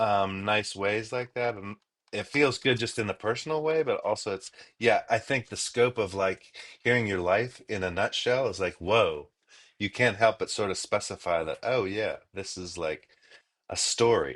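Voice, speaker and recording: A man with a medium pitch talks at a moderate pace with ordinary pitch variation in an unremarkable speaking voice, against a quiet background. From Los Angeles, US. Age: 60s. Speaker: musician and author. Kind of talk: interview. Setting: in a car. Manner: casual, filler-heavy.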